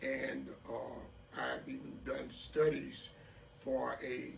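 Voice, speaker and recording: There is noticeable background noise and audible room echo. A man speaks with an American accent. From Texas, Port Arthur. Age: 60s. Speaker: mayoral candidate. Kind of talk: interview. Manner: hesitant, many fillers.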